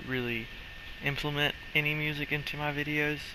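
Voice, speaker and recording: A man talks at a fairly quick pace and a fairly high pitch. His intonation is monotone and flat. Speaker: gaming YouTuber. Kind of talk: gameplay commentary. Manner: casual rambling; stuttering at times.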